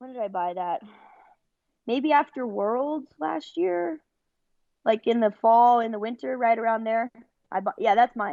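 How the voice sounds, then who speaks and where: The voice has a dark, mellow tone and a Californian accent, with lively intonation. It moves at a fairly slow pace with long, frequent pauses, in a dry, close sound with no echo. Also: woman, fairly high pitch for a woman, quiet background. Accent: California. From Northern California, Bay Area. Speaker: wrestler. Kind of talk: interview. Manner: casual.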